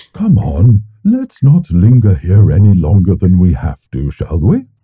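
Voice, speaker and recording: A man uses a put-on character voice pitched fairly low. His intonation is lively and his pace moderate. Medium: audio drama. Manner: gentle, comforting.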